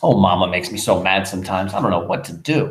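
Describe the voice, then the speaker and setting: A whiny, put-on character voice rattles along at a very fast pace with ordinary pitch variation. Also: man, very deep, low pitch for a man. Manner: mocking, whiny.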